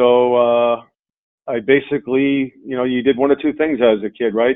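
The speaker has a New York accent. The intonation is monotone and flat. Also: man. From Long Island, New York. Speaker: insurance company CEO. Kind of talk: interview. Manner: halting, many fillers.

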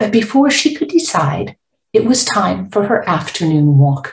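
A woman with vocal fry speaks at a fairly slow pace, her pitch swinging very widely. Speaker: author. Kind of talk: author reading her picture book aloud, storytelling narration. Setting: recorded promotional audio intro. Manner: gentle, warm, expressive read-aloud pacing; clear, measured, child-friendly.

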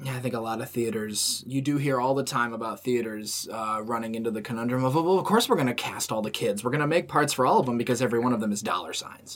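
A man talks at a very fast pace with hardly any pauses and ordinary pitch variation. His pitch is medium, and background noise is noticeable. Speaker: podcast host. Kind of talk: casual chat.

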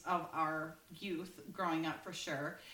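A woman speaks with a Minnesotan accent. Noticeable background noise and audible room echo fill the recording. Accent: Minnesota. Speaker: podcast co-host. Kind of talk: casual chat.

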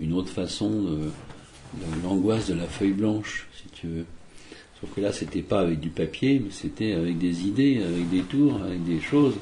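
A man with a very deep, low pitch speaks with long, frequent pauses. Noticeable background noise and audible room echo fill the recording. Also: ordinary pitch variation, moderate pace. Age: 60s. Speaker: magician. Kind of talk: interview. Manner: hesitant, many fillers.

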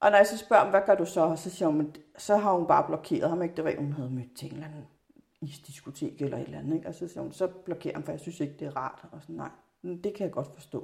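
Very fast speech with big swings in loudness and ordinary pitch variation. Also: woman, fairly low pitch for a woman. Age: 40s. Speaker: parent. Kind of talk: casual interview.

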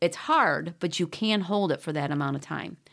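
A woman with an unremarkable speaking voice talks at a moderate pace, her fairly low pitch showing ordinary variation in a very clean recording with a silent background. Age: 50s. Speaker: running coach and podcast host. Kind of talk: solo podcast talk.

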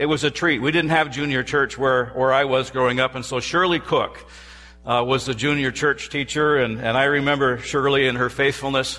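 A man with a fairly high voice, a normal speaking voice, talks at a moderate pace with fairly even intonation. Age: 60s. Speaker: professor and guest preacher. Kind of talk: sermon. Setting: church.

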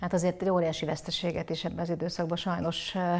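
This woman talks at a fairly quick pace in a fairly low pitch. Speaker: sports podcast host. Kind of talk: interview.

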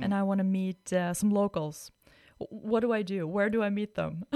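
This is a plain, everyday voice with fairly even intonation at a moderate pace. The sound is dry and close, with no echo. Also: woman. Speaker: podcast host. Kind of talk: interview intro and conversation. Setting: studio.

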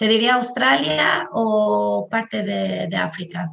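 Speech comes at a very slow pace in an Albanian accent. The intonation is lively. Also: woman. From southern Albania, Tirana. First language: Albanian (speaking Spanish). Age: 30s. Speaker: marketing professional. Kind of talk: interview. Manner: halting.

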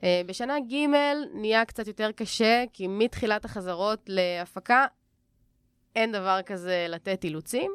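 Very slow speech with ordinary pitch variation. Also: woman, medium pitch for a woman, very clean recording, silent background. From Jerusalem, Israel. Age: 20s. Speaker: acting student. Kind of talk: podcast interview.

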